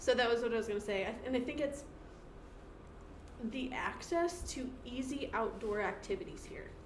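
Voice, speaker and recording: With an American accent, a woman speaks at a moderate pace in a high pitch, her intonation lively, her long pauses frequent, over noticeable background noise and audible room echo. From New York. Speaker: podcast co-host. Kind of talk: casual chat.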